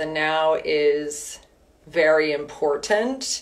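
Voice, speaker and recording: This woman's voice sits at a very deep, low pitch. Her tone is calm and soothing. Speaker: wellness and fitness instructor. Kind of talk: guided meditation, gentle spoken prompts to breathe and visualize an inner guide. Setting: live online session. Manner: slow, calm, soothing instructions with long pauses between prompts; warm, upbeat and chatty in the intro, with fillers. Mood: calm, soothing. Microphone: phone near.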